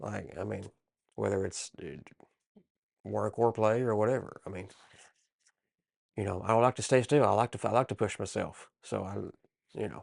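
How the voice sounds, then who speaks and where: A man's fairly low voice with vocal fry, ordinary pitch variation, a moderate pace and long, frequent pauses, over a quiet background. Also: big swings in loudness. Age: 40s. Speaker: wrestling podcast co-host. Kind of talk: casual chat.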